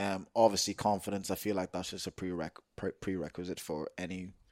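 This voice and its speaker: In a dry, close sound with no echo and a silent background on a very clean recording, a man with a very deep, low pitch speaks at a fairly quick pace in a monotone, flat intonation. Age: 20s. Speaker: podcast co-host. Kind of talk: casual chat.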